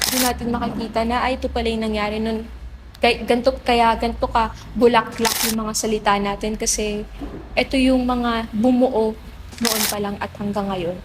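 Amid noticeable background noise, a woman speaks at a moderate pace in a flat monotone with a fairly high pitch. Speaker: theater actor. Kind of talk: interview.

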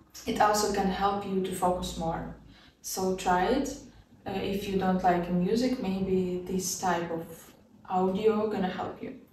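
Amid light background noise and audible room echo, a woman talks at a fairly slow pace with fairly even intonation. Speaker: student vlogger. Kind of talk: casual tutorial vlog. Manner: casual, laughs often. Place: home room.

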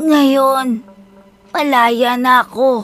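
A woman speaks at a fairly slow pace in a calm tone. Faint music plays in the background. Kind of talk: horror storytelling. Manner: motherly, calm.

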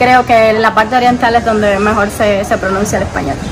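Over noticeable background noise, a woman with an eastern Cuban accent talks with fairly even intonation. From Bayamo, eastern Cuba. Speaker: street interview guest. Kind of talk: street interview answer. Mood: relaxed, friendly, smiling.

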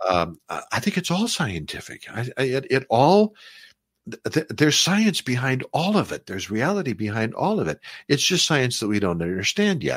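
Recorded very cleanly with a silent background and a dry, close sound without echo, a man speaks at a moderate pace and medium pitch, with vocal fry and very wide pitch swings. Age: 70s. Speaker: author and ancient mysteries researcher. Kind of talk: interview conversation on talk radio. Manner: energetic.

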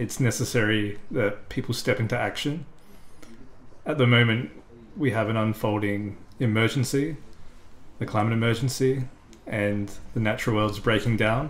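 A man with an Australian accent, medium pitch and fairly even intonation, long and frequent pauses, and light background noise. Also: moderate pace. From South Australia. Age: 30s. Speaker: climate activist. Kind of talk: interview monologue. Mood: earnest, firm conviction. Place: home room.

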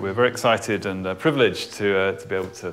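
Faint music plays behind a man who talks at a very fast pace, his fairly low voice carrying lively intonation. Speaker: project lead, Wellbeing Protocol. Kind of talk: project presentation. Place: meeting room.

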